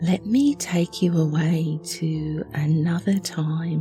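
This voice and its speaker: A woman speaks at a very slow pace with a fairly low pitch and ordinary pitch variation. Music plays in the background. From Australia. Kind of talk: relaxing true story narration. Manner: quiet, calm.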